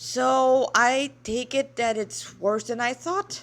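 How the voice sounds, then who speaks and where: A woman puts on a character voice, pitched high and delivered very slowly. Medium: read story.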